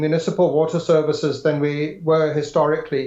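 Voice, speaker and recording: With a slight English accent, a man talks fairly quickly in a dark, mellow tone. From South Africa, Pietermaritzburg. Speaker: government official. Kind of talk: interview. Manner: halting.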